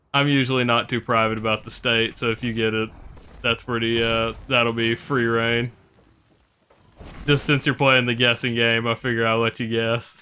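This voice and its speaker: This man speaks with a slight Southern US accent at a moderate pace. His intonation is monotone and flat. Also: medium pitch for a man. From US South. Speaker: video game streamer. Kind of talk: casual live stream chat. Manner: halting, many fillers.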